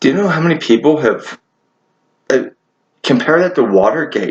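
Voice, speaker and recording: Vocal fry runs through lively intonation at a moderate pace, broken by long, frequent pauses. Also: man. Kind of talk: casual monologue to camera. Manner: halting, repeated words.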